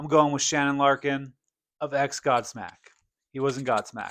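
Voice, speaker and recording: A loud, animated man with a fairly high pitch and a bright, sharp tone, on a very clean recording with a silent background. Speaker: metal music podcast host. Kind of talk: casual chat. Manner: loud, projecting.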